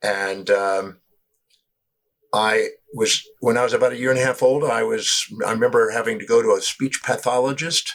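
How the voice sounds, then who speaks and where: Moderate speed from a male speaker. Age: 60s. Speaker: personal development teacher. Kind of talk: interview. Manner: halting.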